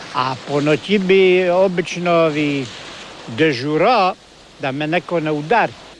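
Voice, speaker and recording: Noticeable background noise sits behind a man's voice. He speaks at a very slow pace with ordinary pitch variation. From Korcula, Croatia. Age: 60s. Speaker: sailor. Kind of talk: interview answer.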